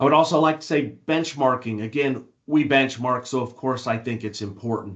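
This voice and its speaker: A man with an unremarkable speaking voice, a medium pitch, ordinary pitch variation and a moderate pace. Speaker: industry analyst. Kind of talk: webinar presentation.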